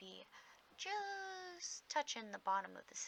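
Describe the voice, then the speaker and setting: Soft-spoken delivery in a relaxed tone at a fairly slow pace. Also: woman. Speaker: hobby gardener. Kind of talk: casual soft-spoken ramble to camera. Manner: soft-spoken, relaxed.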